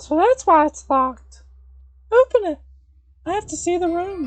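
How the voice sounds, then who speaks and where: A squeaky, put-on character voice at an extremely high pitch, with faint music behind it. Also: moderate pace. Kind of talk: game dialogue read aloud by streamer. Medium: game stream. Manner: intense, fixated.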